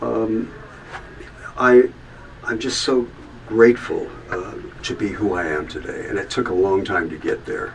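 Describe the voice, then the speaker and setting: A man talks at a moderate pace. Noticeable background noise is audible behind him. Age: 70s. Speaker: musician telling his life story. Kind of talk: testimony. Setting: recording booth. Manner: halting.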